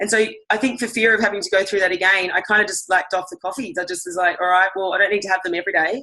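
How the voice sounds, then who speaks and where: With an Australian accent, a woman speaks at a very fast pace and with fairly even intonation. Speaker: fitness instructor. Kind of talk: product testimony.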